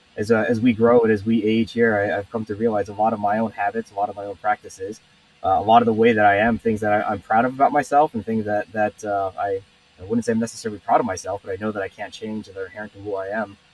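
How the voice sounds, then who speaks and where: A man with a fairly low pitch talks at a very fast pace in a monotone, flat intonation with big swings in loudness, the sound dry and close with no echo but with noticeable background noise. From Taiwan. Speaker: company co-founder. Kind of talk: interview. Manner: hesitant with fillers.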